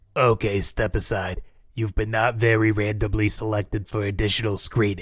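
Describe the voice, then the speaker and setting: Putting on a raspy character voice, a man speaks at a fairly low pitch and a moderate pace on a very clean recording with a silent background. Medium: audio drama. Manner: deadpan, bureaucratic.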